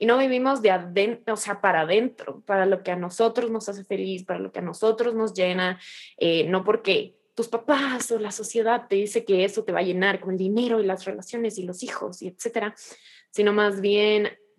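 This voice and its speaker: Her pace moderate, the woman speaks at a medium pitch. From Ecuador. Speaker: podcast host. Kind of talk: casual interview chat. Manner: animated.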